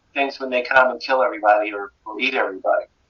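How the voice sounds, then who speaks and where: Medium pitch is heard. The speaker is a man. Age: 60s. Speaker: novelist. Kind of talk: interview. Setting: phone call. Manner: halting, with many repetitions.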